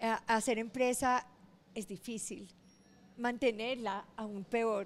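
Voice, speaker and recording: This woman's fairly high voice stays monotone and flat throughout. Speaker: business founder. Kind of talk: interview.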